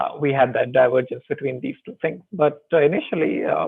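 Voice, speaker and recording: A man is speaking. His pace is fairly quick. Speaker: university lecturer. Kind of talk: online lecture.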